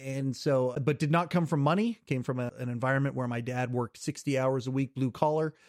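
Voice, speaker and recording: A man with a Western Canadian accent at a medium pitch and fairly quick pace with hardly any pauses, dry and close with no echo, on a very clean recording with a silent background. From Western Canada, British Columbia. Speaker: podcast host. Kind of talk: casual interview chat. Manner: animated.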